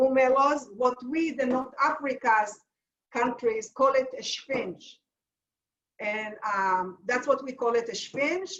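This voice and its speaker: Speaking at a very slow pace with an Israeli accent, the voice shows ordinary pitch variation and long, frequent pauses. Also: woman, high pitch for a woman. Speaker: home cook teaching a recipe. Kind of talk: cooking demonstration; casual chat. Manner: halting.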